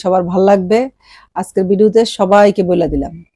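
A woman with a dark, mellow tone speaks at a medium pitch with monotone, flat intonation. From Bangladesh, Brahmanbaria. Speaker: YouTube vlogger. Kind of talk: casual vlog talk to viewers. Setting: at home.

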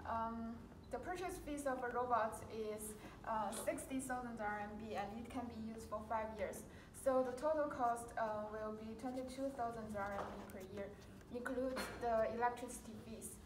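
Speaking at a fairly slow pace with ordinary pitch variation, a woman is heard over noticeable background noise. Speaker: presenter. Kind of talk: class presentation. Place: classroom.

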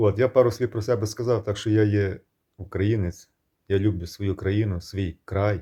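A man speaks slowly-ish, at a fairly slow pace, with a dark, mellow tone that is somewhat breathy. The recording is very clean, with a silent background. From Ukraine. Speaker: video blogger. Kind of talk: monologue to camera. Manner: animated.

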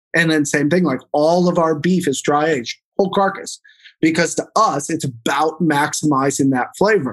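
A man with a normal speaking voice talks at a fairly high pitch, keeping very even loudness and ordinary pitch variation. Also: moderate pace. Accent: American. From US Midwest, St. Louis. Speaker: meat company co-founder and former chef. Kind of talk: interview.

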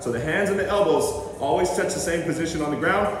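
Strong room echo surrounds a man's voice. Noticeable background noise is also heard. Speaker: fitness trainer. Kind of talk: tutorial. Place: gym. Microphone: camera far.

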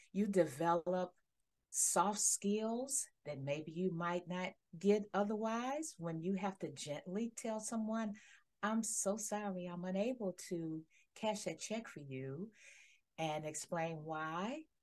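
A woman speaks very slowly at a medium pitch. Her intonation is lively. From Detroit, Michigan. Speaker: HR consultant; guest. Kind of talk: interview. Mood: warm, professional. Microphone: headset.

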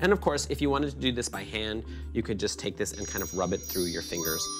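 Clear background music is playing. Over it, a man talks. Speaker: baking show host. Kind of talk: tutorial. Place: kitchen.

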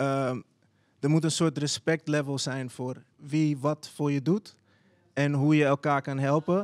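A man speaks at a very slow pace and a fairly high pitch, with monotone, flat intonation. He leaves long, frequent pauses against a quiet background. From Netherlands, Zaanstad; Netherlands. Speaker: visual artist and children's book writer; podcast host. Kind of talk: casual panel discussion. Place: studio. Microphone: handheld.

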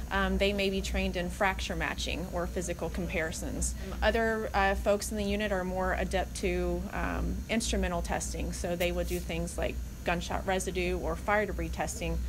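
Moderate-paced speech from a woman, with noticeable background noise. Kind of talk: interview answer. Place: office.

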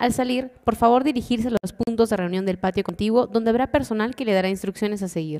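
Against a quiet background, a woman with a dark, mellow tone speaks at a very fast pace with ordinary pitch variation. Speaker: event host. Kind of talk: formal announcement. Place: hall. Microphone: podium.

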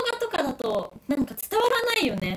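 A woman's animated voice at a moderate pace, with very wide pitch swings. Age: 20s. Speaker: YouTuber doing live stream. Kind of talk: casual live-stream chat reading comments. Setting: live stream. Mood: excited, moved. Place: home room. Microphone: crackling audio; phone near.

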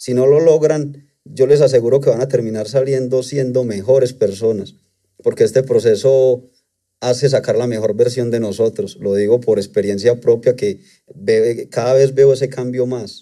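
Over a quiet background, the voice has a dark, mellow tone, a moderate pace and fairly even intonation. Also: man, medium pitch for a man. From Colombia, Antioquia. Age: 30s. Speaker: trader; interview guest. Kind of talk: testimony. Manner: hesitant, with fillers. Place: studio. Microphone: studio mic.

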